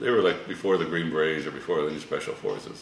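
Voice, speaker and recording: Amid audible room echo and light background noise, a man speaks at a moderate pace. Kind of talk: interview answer. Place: kitchen.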